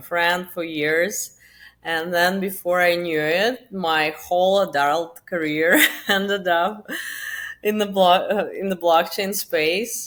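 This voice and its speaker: A woman speaks with a Russian accent. Her pitch is fairly low, and she talks at a fairly slow pace. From Russia, Moscow. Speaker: crypto marketing founder. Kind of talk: podcast interview. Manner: casual, with fillers.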